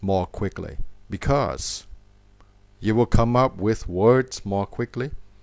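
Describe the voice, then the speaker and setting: On a very clean recording with a silent background, a man with a Thai accent speaks very slowly in a fairly low voice with ordinary pitch variation. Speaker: English teacher. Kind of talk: tutorial. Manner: slow, clear.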